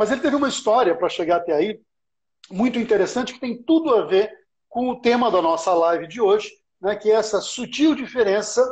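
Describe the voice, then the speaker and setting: In a Paulista accent, a man speaks with lively intonation. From Brazil, São Paulo. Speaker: live stream host. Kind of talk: casual live-stream interview. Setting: online live stream.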